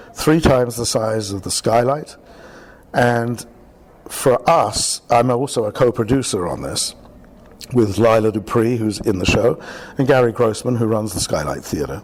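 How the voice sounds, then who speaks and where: A British-accented man at a fairly slow pace, ordinary pitch variation, long and frequent pauses throughout. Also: medium pitch for a man. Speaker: theatre director. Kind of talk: radio interview. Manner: halting.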